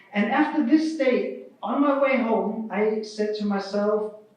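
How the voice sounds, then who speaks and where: A man with a German accent speaks in a high voice with lively intonation. Audible room echo surrounds him. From Germany. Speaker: keynote speaker, open-source project vice president. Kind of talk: keynote speech.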